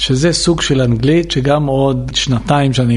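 Over noticeable background noise, a man with a strong Israeli accent speaks at medium pitch with ordinary pitch variation. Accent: heavy Israeli accent in English. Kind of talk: storytelling interview.

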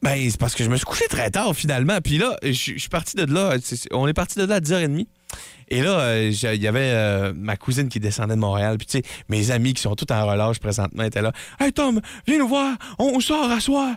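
In a Quebec accent, a man talks at a medium pitch with very wide pitch swings. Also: moderate pace. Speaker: radio co-host. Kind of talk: casual radio banter. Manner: halting, hesitant.

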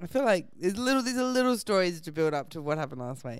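A woman with an Australian accent talks at a very fast pace, her pitch swinging very widely, on a very clean recording with a silent background. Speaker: comedian. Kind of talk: storytelling anecdote.

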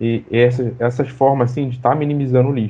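The voice belongs to a man speaking at medium pitch. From Maré, Rio de Janeiro. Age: 20s. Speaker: computer science student and community activist. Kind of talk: panel discussion. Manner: halting.

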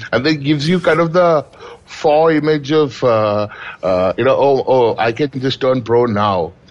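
A man speaks at a fairly slow pace with fairly high pitch, lively intonation and very even loudness, over noticeable background noise. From India, Kerala. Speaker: professional poker player. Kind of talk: interview.

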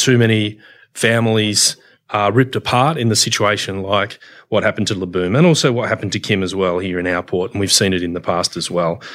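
Talking at a fairly quick pace with an Australian accent, a man has a fairly low pitch and ordinary pitch variation. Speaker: union official. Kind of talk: casual chat.

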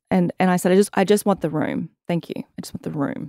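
A woman with an Australian accent talks at a fairly quick pace and medium pitch. Her tone is dark and mellow, and the sound is dry and close with no echo. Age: 30s. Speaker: activewear founder and content creator. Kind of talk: casual interview chat.

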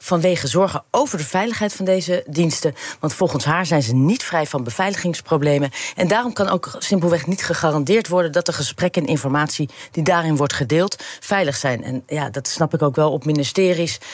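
Noticeable background noise under a woman's fairly low voice, with lively intonation and a fairly quick pace. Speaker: tech reporter. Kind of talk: casual chat.

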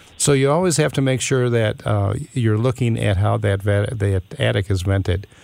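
A man speaks in an unremarkable speaking voice. His pitch is fairly low and his loudness very even. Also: ordinary pitch variation, moderate pace. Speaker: home improvement consultant. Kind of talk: radio call-in advice. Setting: studio.

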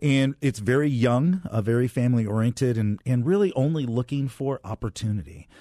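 Here a man talks at a fairly quick pace with medium pitch and a dark, mellow tone. His intonation is lively and his loudness stays very even. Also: hardly any pauses, dry, close sound with no echo, quiet background. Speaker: community nonprofit director. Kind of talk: interview. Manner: low-key.

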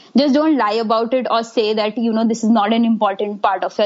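A woman talks at a fairly quick pace in a fairly high voice. Her intonation stays fairly even, with noticeable background noise behind her. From Delhi, India. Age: 20s. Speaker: adoptee sharing her story. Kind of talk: testimony.

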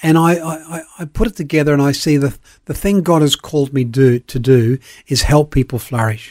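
A man with an Australian accent speaks with fairly high pitch and ordinary pitch variation. The recording is very clean with a silent background, and the sound is dry and close with no echo. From South Australia, born in Northern Ireland. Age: 70s. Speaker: pastor and sports chaplain. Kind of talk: radio interview. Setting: studio.

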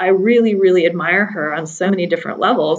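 Speaking very fast, a woman with a General American accent uses a medium pitch and ordinary pitch variation. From US Pacific Northwest, Seattle. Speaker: energy executive. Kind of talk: interview.

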